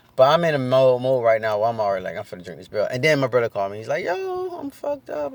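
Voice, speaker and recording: This is a man talking. He goes at a very fast pace. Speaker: vlogger sharing sobriety update. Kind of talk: personal vlog testimony. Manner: fast, sometimes mumbling; loud.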